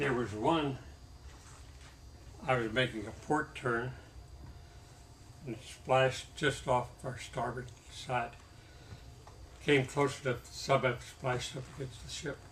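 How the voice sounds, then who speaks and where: At a fairly slow pace and a medium pitch, a man speaks with vocal fry, fairly even intonation, long and frequent pauses, and big swings in loudness. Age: 80s+. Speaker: war veteran. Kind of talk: interview answer.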